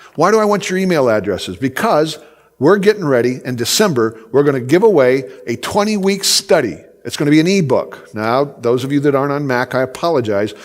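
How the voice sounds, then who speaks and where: A man talks at a fairly quick pace in a fairly high pitch, his voice making very wide pitch swings. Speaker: conference speaker. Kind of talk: conference talk. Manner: fast.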